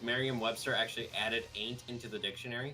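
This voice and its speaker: A man's medium-pitched voice in an American accent, with music in the background. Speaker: streamer. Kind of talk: casual chat.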